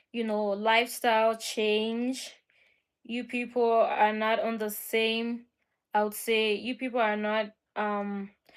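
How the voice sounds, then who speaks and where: On a very clean recording with a silent background, a woman speaks very slowly in a fairly high voice with monotone, flat intonation. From Liberia. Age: 20s. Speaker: vlogger. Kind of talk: casual monologue.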